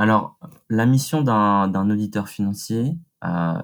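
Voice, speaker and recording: A man with a fairly low voice, recorded very cleanly against a silent background. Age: 20s. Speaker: business school student, audit intern. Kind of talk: interview. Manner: halting, many repetitions and fillers.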